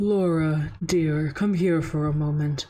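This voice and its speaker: Using a put-on character voice, a woman speaks with a very deep, low pitch and fairly even intonation. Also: fairly slow pace. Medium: virtual streamer.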